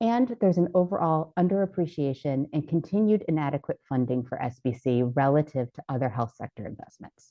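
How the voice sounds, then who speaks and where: A woman speaks at a very deep, low pitch with very wide pitch swings and big swings in loudness. Her pace is fairly quick, with hardly any pauses. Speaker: public health program presenter. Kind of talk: conference presentation. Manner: fast.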